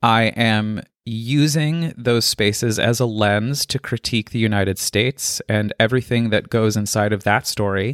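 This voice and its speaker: A man with an American accent speaks in an unremarkable speaking voice at medium pitch and moderate pace, with fairly even intonation and hardly any pauses, in a very clean recording with a silent background and a dry, close sound with no echo. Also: very even loudness. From Colorado. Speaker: podcast creator and artist. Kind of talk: interview conversation.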